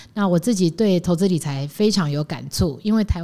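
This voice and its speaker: A woman's fairly low voice with a dark, mellow tone and ordinary pitch variation. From Taiwan, Taichung. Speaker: finance executive. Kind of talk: interview.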